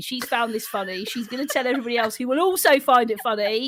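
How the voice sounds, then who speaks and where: Speaking at a fairly quick pace, a woman with an English accent has a high-pitched voice and lively intonation. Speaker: podcast co-host. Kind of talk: casual podcast conversation.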